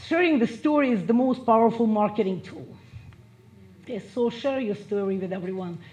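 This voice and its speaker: Somewhat breathy and fairly high in pitch, a woman talks at a fairly quick pace with lively intonation. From Russia. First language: Russian. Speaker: motivational speaker. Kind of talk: motivational speech.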